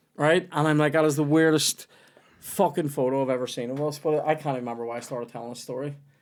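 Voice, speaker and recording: Very fast male speech, fairly high in pitch, with fairly even intonation. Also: very clean recording, silent background. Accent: Northern Irish. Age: 30s. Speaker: comedian and podcast host. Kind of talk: casual chat.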